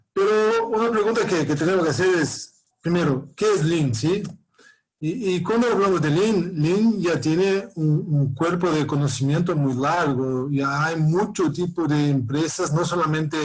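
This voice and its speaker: Amid audible room echo, a man speaks slowly-ish, at a fairly slow pace, with a fairly high pitch and ordinary pitch variation. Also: very even loudness. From Brazil. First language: Portuguese (speaking Spanish). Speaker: professor. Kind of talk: lecture. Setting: video call. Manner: halting, many repetitions and fillers.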